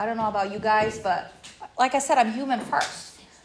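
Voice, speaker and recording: Someone with a Portuguese accent speaks in an animated tone with ordinary pitch variation. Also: woman. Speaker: recovery workshop speaker. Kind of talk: workshop talk.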